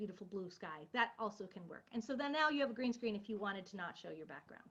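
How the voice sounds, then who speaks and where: A woman speaks with lively intonation. Her voice is somewhat breathy. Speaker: college instructor. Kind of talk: lecture. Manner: fast.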